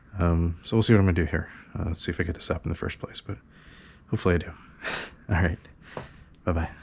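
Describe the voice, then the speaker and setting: Somewhat breathy and very deep, low in pitch, a man talks at a very fast pace with fairly even intonation and long, frequent pauses. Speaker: toy collector youtuber. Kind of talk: casual chat. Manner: rambling with many fillers. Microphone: head-mounted camera mic close to mouth and nose.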